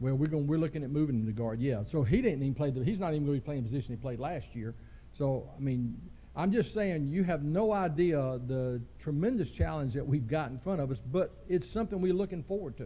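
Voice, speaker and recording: In a Southern US accent, a man speaks very fast with lively intonation, his fairly high voice somewhat breathy with a dark, mellow tone and audible room echo. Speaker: high school football coach. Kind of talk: press conference interview.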